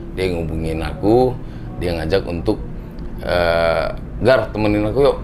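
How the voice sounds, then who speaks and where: Over noticeable background noise and audible room echo, a man talks at a fairly slow pace in a very deep, low pitch, his pitch swinging very widely, with long, frequent pauses. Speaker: rock singer. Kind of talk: interview. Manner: casual.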